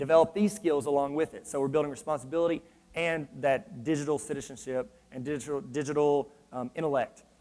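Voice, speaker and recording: A man with a fairly high pitch and ordinary pitch variation speaks at a fairly quick pace. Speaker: education consultant and trainer. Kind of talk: conference presentation. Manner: fast; animated.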